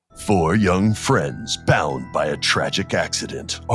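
Clear background music behind a man's fairly slow, put-on character voice. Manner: dramatic, announcer-like.

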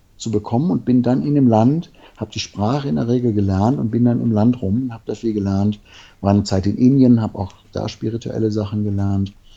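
A man speaks at a moderate pace with a fairly low pitch and ordinary pitch variation. His tone is dark and mellow. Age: 50s. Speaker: men's coach and therapist. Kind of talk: interview.

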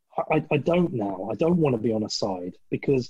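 With lively intonation, a man speaks at medium pitch, somewhat breathy. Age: 40s. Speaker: podcast host. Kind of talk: casual chat.

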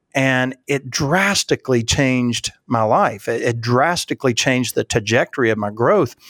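A man speaks at a moderate pace and medium pitch, with a dry, close sound and no echo. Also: very clean recording, silent background. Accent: Appalachian. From West Virginia, US. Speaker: leadership consultant and church leadership expert. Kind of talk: interview conversation.

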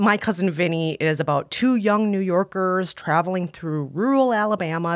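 A woman speaks at a moderate pace with lively intonation and a fairly low pitch in an ordinary speaking voice. The recording is very clean with a silent background. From US Midwest (Scandinavian area). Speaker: culture critic and podcast co-host. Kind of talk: casual advice chat with film recommendations. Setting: studio.

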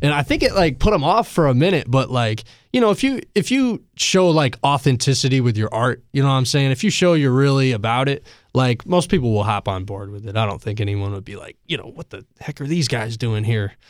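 A man with an American accent and an unremarkable speaking voice talks fairly quickly at medium pitch, with hardly any pauses. His intonation is lively. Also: very clean recording, silent background. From Asheville, North Carolina. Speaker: rapper. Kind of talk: casual chat. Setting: studio.

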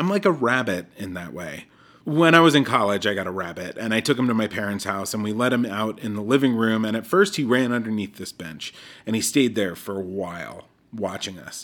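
A man's normal speaking voice, fairly low and fairly quick, with lively intonation. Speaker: mental health segment host, traveling. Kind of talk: reflective personal narration. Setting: hotel in Africa, recorded remotely.

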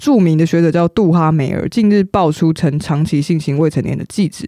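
At a moderate pace, a woman with a fairly low pitch talks in an unremarkable speaking voice. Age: 30s. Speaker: podcast co-host. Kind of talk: casual chat.

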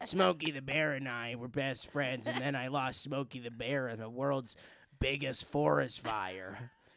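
In a put-on character voice, a man speaks with a raspy sound at a medium pitch. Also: moderate pace. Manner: grieving.

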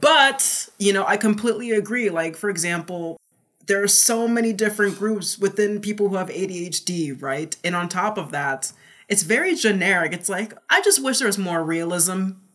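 The speaker has an energetic tone at a moderate pace. Pitch variation is ordinary. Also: woman, medium pitch for a woman. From New Jersey. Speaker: neurodivergence advocate. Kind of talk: casual interview chat.

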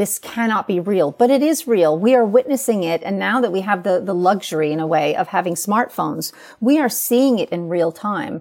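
With a New York accent, a woman speaks at a moderate pace and medium pitch with lively intonation. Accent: American, New York. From US Northeast, New York City. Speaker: writer. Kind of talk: interview. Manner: emotional, passionate.

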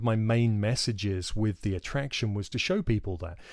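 The voice has a southern English accent, captured on a very clean recording with a silent background. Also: man. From England. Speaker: podcast host and wildlife filmmaker. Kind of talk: casual monologue. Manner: hesitant, filler-heavy.

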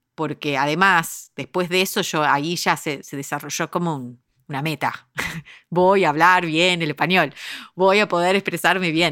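At a moderate pace, a woman speaks in a bright, sharp tone with fairly even intonation. Her pitch is fairly low, on a very clean recording with a silent background. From United States, Uruguayan family. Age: 40s. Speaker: podcast producer and company founder. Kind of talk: casual interview conversation.

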